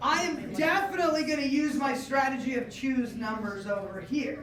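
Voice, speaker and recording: The pitch varies in an ordinary way, and there is audible echo from the room. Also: woman. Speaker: test prep teacher. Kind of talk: classroom lecture. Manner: fast.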